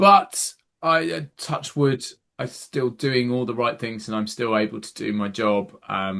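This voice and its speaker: With an English accent, a man talks at medium pitch and a fairly slow pace in a bright, sharp tone. His intonation is lively, over a quiet background. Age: 30s. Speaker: podcast co-host. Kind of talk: casual chat.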